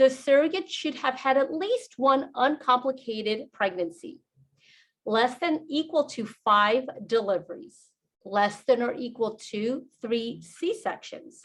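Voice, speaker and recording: Speaking with a Spanish accent, a woman uses a high pitch and lively intonation at a fairly slow pace. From New York. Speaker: fertility doctor. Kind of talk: webinar presentation.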